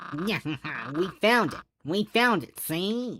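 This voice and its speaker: Putting on a character voice, the man pitches himself high. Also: very clean recording, silent background. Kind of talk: comic overacting. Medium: game stream. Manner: old-timey mobster talk ending lines with "see".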